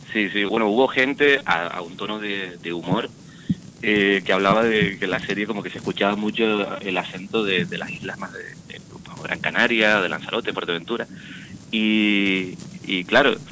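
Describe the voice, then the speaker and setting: A man talks at a moderate pace with a fairly low pitch. He has a plain, everyday voice. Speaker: actor. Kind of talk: radio interview.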